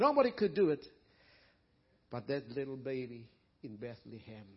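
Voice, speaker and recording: Somewhat breathy, a man speaks at a fairly slow pace with a fairly high pitch. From South Africa. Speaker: preacher. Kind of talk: sermon. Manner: animated.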